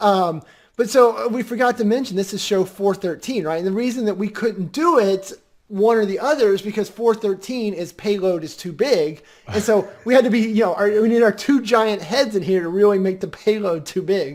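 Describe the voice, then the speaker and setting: A man's squeaky, high-pitched voice moves at a moderate pace with ordinary pitch variation. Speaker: podcast co-host. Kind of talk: casual chat. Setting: live video stream.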